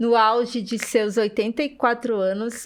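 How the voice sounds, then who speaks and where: A woman speaks in an unremarkable speaking voice at a fairly high pitch. She goes at a fairly slow pace in a very clean recording with a silent background. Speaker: podcast host. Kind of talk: podcast introduction.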